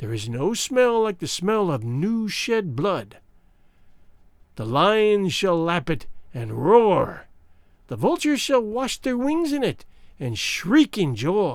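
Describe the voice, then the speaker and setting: This put-on character voice is shrill, at a middle pitch, with very wide pitch swings. It goes at a fairly slow pace with long, frequent pauses. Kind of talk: horror storytelling. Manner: wailing, gloating prophetic frenzy.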